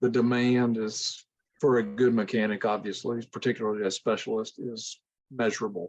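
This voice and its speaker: This is an unremarkable speaking voice, a man's at medium pitch. He talks at a moderate pace. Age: 60s. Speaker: classic car owner. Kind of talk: video call Q&A. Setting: video call.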